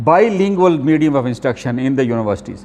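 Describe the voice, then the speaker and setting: Speaking with a Pakistani accent, a man lets his voice make very wide pitch swings. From Pakistan, Lahore. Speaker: professor. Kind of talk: lecture. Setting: classroom with students. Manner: halting, with many fillers.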